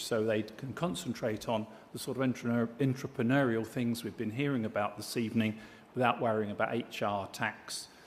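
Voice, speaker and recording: A man with a British accent, medium in pitch, fairly even in intonation, at a moderate pace. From Britain. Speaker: diplomat and business chairman, award presenter. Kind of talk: award ceremony speech. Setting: stage with audience. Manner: formal.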